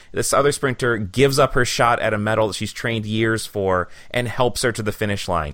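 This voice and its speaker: In an ordinary speaking voice, a man at medium pitch talks at a fairly quick pace with hardly any pauses. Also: ordinary pitch variation. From Michigan. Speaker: podcast host and university teacher. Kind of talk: interview. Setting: studio. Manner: casual, with many fillers.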